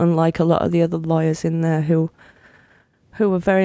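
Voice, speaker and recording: Fairly low for a woman, her voice has a dark, mellow tone and a British accent. She talks at a fairly quick pace on a very clean recording with a silent background. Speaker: podcast co-host. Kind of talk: casual chat.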